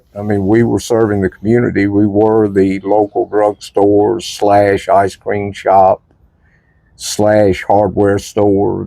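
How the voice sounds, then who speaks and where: Here is a man with a fairly low pitch and a Tennessee accent. His intonation is monotone and flat. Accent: Southern US (Tennessee). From Nashville, Tennessee. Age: 70s. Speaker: former pharmacy worker. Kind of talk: oral history interview answer.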